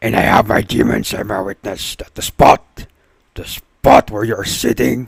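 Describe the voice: The delivery is plain reading aloud. Intonation stays fairly even.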